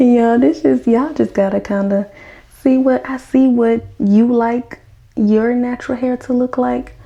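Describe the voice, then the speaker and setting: A woman speaks at a high pitch with an American accent. She goes at a fairly slow pace with fairly even intonation. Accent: Southern US accent, per others. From US South. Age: 20s. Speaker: hair care vlogger. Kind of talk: casual tutorial. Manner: casual, chatty.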